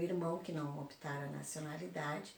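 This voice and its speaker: The speech comes at a fairly slow pace with fairly even intonation. Audible room echo and noticeable background noise fill the recording. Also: woman. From southern Brazil (Porto Alegre), born in Uruguay. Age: 60s. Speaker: oral history interviewee. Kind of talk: oral history interview.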